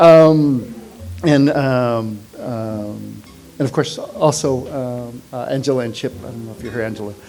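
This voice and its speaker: A man speaks at a fairly slow pace in a medium pitch with ordinary pitch variation and big swings in loudness. Audible room echo and noticeable background noise fill the recording. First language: Spanish. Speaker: friend giving eulogy. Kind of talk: memorial tribute speech. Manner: halting, many fillers.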